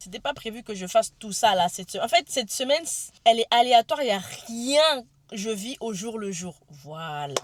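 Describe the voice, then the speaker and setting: Lively intonation marks this somewhat breathy woman's voice. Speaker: vlogger. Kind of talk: vlog. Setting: in a car. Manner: fast; halting.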